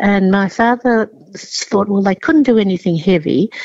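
With an Australian accent, a woman talks at a moderate pace and medium pitch, recorded dry and close with no echo. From southern China, raised in Australia. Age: 80s+. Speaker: chef and cooking teacher. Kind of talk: interview. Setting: phone call.

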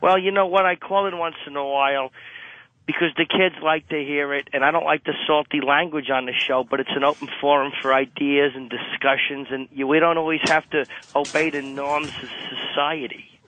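This man has an ordinary speaking voice, pitched fairly high. He moves at a moderate pace with fairly even intonation. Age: 50s. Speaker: caller. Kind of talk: radio call-in. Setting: phone call. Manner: laughing.

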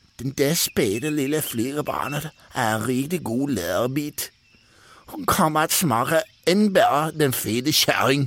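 Put-on character voice from a man, pitched fairly high. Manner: sly, scheming.

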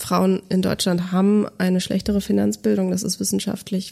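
Her intonation flat and monotone, a woman talks fairly quickly at medium pitch in a dark, mellow tone. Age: 30s. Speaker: finance educator, former journalist and podcast host. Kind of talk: interview conversation. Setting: studio, in person.

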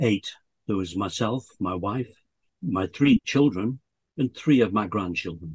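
A somewhat breathy man with a fairly low pitch and lively intonation speaks at a fairly slow pace with long, frequent pauses, in a dry, close sound with no echo. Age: 70s. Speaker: bucket list storyteller, lung transplant recipient. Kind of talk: casual interview.

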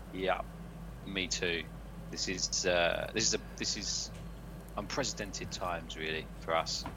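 A man with a British accent and a very deep, low pitch speaks at a fairly slow pace, his pitch swinging very widely, with long, frequent pauses. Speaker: football podcast host. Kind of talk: casual chat.

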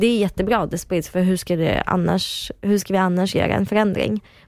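In a dry, close recording that is very clean with a silent background, a woman with an unremarkable speaking voice talks at a medium pitch with fairly even intonation. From Kyrgyzstan. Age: 20s. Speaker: reality TV personality and journalism student. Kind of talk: casual interview chat.

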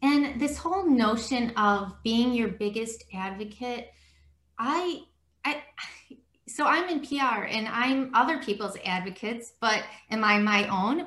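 A woman with a normal speaking voice talks fairly slowly at a fairly high pitch, her intonation lively. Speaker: podcast host. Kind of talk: interview conversation. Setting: video call.

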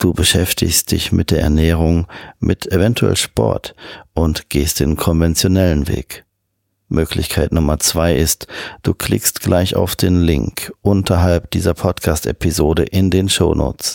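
Very deep and low, a man's voice with vocal fry and a gentle, soothing tone moves at a very slow pace with ordinary pitch variation and very even loudness, dry and close with no echo, on a very clean recording with a silent background. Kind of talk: guided hypnosis induction. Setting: music backing. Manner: slow, soothing, calm; hypnotic, repetitive, gentle rhythm.

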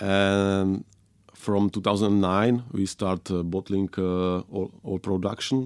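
On a very clean recording with a silent background, a man speaks at a very slow pace with a fairly low pitch and fairly even intonation. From Moravia, Czech Republic. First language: Czech. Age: 30s. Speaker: winemaker. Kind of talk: casual interview chat. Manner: halting, hesitant with many fillers.

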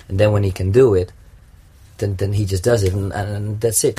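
A man's very fast, somewhat breathy voice with a non-native accent, fairly low in pitch, dark and mellow in tone, with monotone, flat intonation. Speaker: circus clown. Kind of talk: interview.

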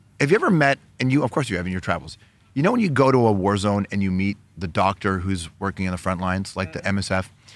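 Animated in tone, a man talks at a very fast pace in a fairly low pitch, with ordinary pitch variation. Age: 40s. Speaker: broadcaster and producer. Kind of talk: casual chat.

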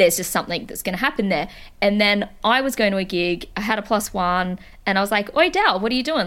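An American accent comes through as a woman talks at a very fast pace with medium pitch, an animated tone and ordinary pitch variation, on a very clean recording with a silent background. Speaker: music podcast co-host. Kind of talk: casual chat. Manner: animated, giggly.

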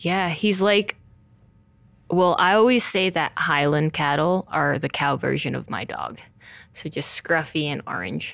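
A woman speaks with a very deep, low pitch, vocal fry and ordinary pitch variation. Her fairly slow delivery comes through a very clean recording with a silent background. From New Jersey, US (Montclair). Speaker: pro mountain biker. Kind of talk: interview.

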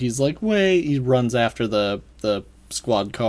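Someone is reading aloud in a natural voice.

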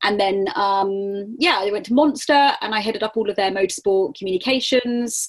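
A woman with a fairly high pitch and ordinary pitch variation, at a moderate pace with hardly any pauses, over noticeable background noise. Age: 30s. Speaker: motorsport communications and marketing professional. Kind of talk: interview.

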